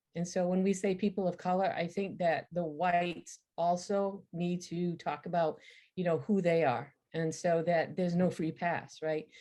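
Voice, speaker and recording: Speaking at a moderate pace over a quiet background, a woman uses a fairly low, dark, mellow voice with fairly even intonation. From Maine, Waterville. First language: French. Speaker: writer and retired university instructor. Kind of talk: lecture. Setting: virtual program.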